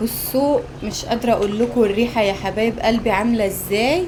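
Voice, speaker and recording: A woman with an Egyptian accent, fairly high pitch and ordinary pitch variation, at a fairly slow pace, with audible room echo and noticeable background noise. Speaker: cooking vlogger. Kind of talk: casual cooking vlog. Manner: animated.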